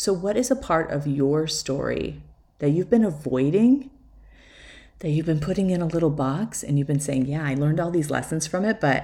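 A woman's very deep, low voice with vocal fry, a dark, mellow tone and ordinary pitch variation. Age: 40s. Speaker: podcast host, life coach and photographer. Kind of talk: solo podcast monologue. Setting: at home.

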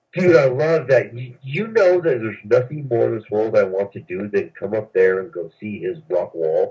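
A man with a dark, mellow, somewhat breathy tone and medium pitch speaks at a moderate pace with hardly any pauses, big swings in loudness, and very wide pitch swings. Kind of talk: casual chat. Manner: animated.

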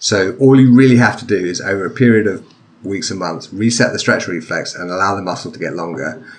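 With an English accent, the speaker goes at a fairly quick pace with ordinary pitch variation. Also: man, fairly low pitch for a man. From England. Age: 40s. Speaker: author and sword-fighting instructor, podcaster. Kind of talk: casual chat. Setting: video call.

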